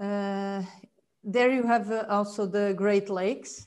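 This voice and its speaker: A woman with a Portuguese accent, very slow in pace, with fairly even intonation. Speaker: marine biologist and author. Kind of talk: casual interview chat. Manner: halting with repetitions.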